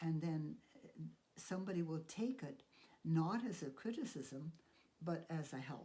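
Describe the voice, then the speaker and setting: Her pitch is fairly low, and the woman speaks at a fairly slow pace with lively intonation and long, frequent pauses. The tone is dark and mellow and somewhat breathy. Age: 80s+. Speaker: piano, voice and painting teacher. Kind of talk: interview answer.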